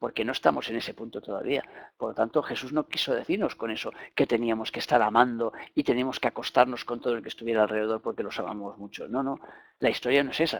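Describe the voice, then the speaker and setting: A man with a Spanish accent talks at a very fast pace, his pitch medium with ordinary variation. The recording is very clean, with a silent background. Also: dry, close sound with no echo. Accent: Peninsular Spanish. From Spain. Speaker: spiritual teacher. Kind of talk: lecture.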